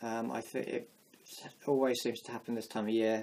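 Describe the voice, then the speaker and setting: Mumbling at a fairly quick pace, a man speaks at a medium pitch with a dark, mellow tone. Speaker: vlogger. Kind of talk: personal testimony vlog. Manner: halting.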